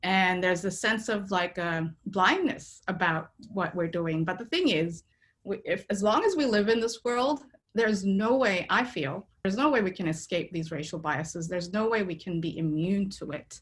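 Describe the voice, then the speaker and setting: A woman's somewhat breathy voice at medium pitch, with lively intonation and a moderate pace. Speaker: researcher. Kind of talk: conference talk. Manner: conversational, many fillers.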